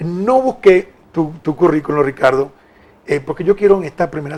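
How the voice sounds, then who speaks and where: A man speaks at a fairly quick pace. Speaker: TV talk show host. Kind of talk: political interview. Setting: TV studio, live. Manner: fast.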